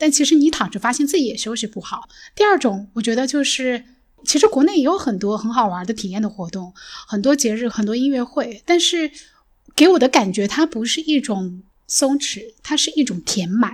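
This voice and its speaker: A woman's high voice at a moderate pace, with very wide pitch swings, in a very clean recording with a silent background. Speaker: podcast host. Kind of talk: casual chat.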